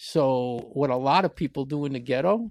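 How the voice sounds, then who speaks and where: A man with an American accent and a plain, everyday voice, medium in pitch with ordinary pitch variation, in a dry, close recording with no echo. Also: quiet background. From US Northeast, New York (Bronx). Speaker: podcast co-host. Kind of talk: casual debate.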